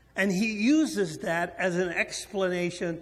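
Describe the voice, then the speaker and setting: Audible room echo surrounds a man speaking very slowly in a high voice. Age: 60s. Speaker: preacher. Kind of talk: sermon.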